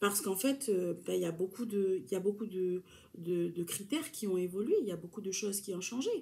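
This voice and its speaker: This woman's voice is somewhat breathy, with a dark, mellow tone at a medium pitch. She talks at a fairly quick pace. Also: ordinary pitch variation. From New Caledonia (Kanak). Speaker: YouTuber. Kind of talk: casual talk to camera.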